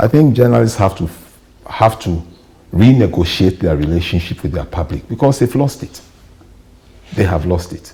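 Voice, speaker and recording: A man with a very deep, low voice swings widely in pitch and leaves long, frequent pauses. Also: moderate pace. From Ghana. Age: 60s. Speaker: journalist and media trainer. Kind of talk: interview.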